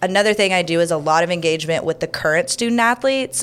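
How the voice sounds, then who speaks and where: Speaking with an American accent at a fairly quick pace, a woman uses a medium-pitched voice with ordinary pitch variation on a very clean recording with a silent background. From Houston, Texas. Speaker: university athletics relations director. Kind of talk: interview. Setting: studio.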